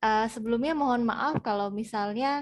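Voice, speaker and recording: This woman's voice is fairly high with ordinary pitch variation. Nothing stirs in the quiet background. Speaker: Japanese language teacher. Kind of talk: interview. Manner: hesitant, many filler sounds.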